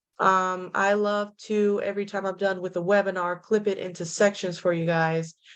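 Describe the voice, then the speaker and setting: Speaking at a moderate pace in a medium pitch, a woman is heard against a quiet background. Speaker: real estate tech trainer. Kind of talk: webinar tutorial. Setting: video call from home. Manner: loud.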